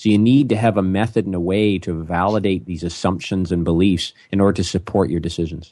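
Someone with a Canadian accent speaks in a normal speaking voice at a fairly quick pace with ordinary pitch variation. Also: man. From Ontario, Canada. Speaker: business consultant. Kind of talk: interview.

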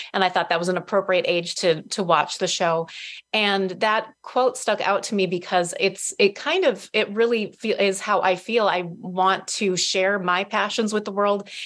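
A woman with an American accent speaks in a plain, everyday voice at a medium pitch and moderate pace, with fairly even intonation, very even loudness and hardly any pauses. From northern Minnesota. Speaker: author. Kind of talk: casual chat.

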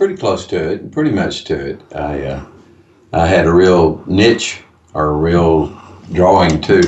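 Over noticeable background noise and audible room echo, a man speaks at a fairly slow pace in a very deep, low voice. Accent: Texan. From Texas, Fort Worth. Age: 80s+. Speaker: business owner. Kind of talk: interview. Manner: halting.

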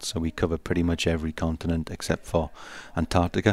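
Speaking at a fairly quick pace with a British accent, a man with a very deep, low pitch is heard on a very clean recording with a silent background. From UK. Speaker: tech company executive. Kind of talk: interview. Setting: conference floor, live radio broadcast.

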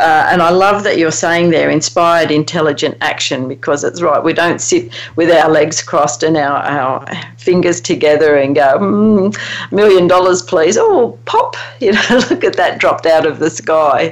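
Lively intonation and very even loudness come at a moderate pace over noticeable background noise. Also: woman, fairly low pitch for a woman. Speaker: radio show host. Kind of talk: radio interview. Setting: radio show.

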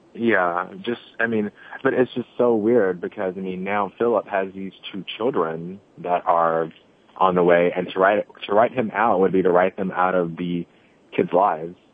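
With a very deep, low pitch, a man speaks at a moderate pace using fairly even intonation. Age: 20s. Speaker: caller. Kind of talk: casual chat.

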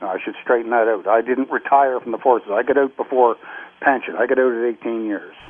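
At a fairly quick pace, a man speaks in a Canadian accent with monotone, flat intonation. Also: medium pitch for a man. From Canada (Nova Scotia), born Scotland. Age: 60s. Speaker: retired navy veteran. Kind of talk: interview. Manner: halting.

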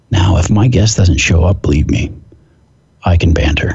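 Noticeable background noise sits behind a man with an American accent and a very deep, low pitch. He talks at a fairly slow pace with ordinary pitch variation. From US Pacific Northwest. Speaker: fitness expert and podcast host. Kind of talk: casual chat. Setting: phone call.

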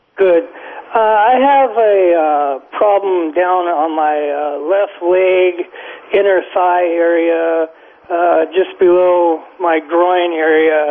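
Against noticeable background noise, a man speaks very slowly in a high voice with ordinary pitch variation. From California. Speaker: caller. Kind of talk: call-in health question. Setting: phone call. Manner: halting.

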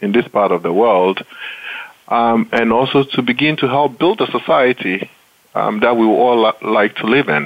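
A man speaks with a medium pitch and ordinary pitch variation. The clip carries noticeable background noise. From Ghana. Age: 40s. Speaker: engineering dean. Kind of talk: interview.

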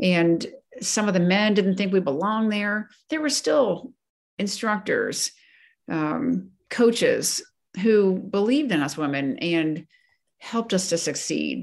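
Using an unremarkable speaking voice, a woman talks at a fairly slow pace and medium pitch with lively intonation. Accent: American. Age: 60s. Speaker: retired coast guard vice admiral. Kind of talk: interview.

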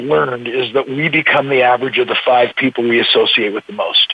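Delivered at a fairly quick pace, an unremarkable speaking voice shows ordinary pitch variation. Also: man. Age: 60s. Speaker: motivational speaker. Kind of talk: interview.

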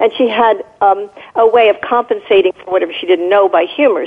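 Over noticeable background noise, a woman with an American accent talks at a moderate pace, her fairly high voice showing ordinary pitch variation. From Southern California. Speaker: caller, trained in medicine. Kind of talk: call-in radio talk. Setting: phone call.

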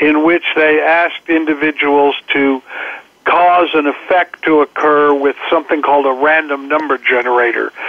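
Audible background noise sits behind talking that proceeds at a moderate speed. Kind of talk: guest interview, explanatory talk on collective consciousness. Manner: earnest, explanatory, conversational.

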